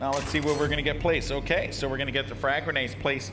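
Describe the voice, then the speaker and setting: A man speaks over background music, with noticeable echo in the room. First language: not English (English is third language). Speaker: esports caster. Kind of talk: live commentary. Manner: animated.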